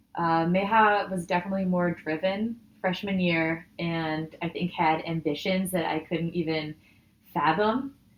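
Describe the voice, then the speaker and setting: Speaking fairly slowly with a Midwestern US accent, a woman keeps a fairly low pitch and fairly even intonation. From Michigan, US Midwest. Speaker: data scientist. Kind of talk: casual interview chat.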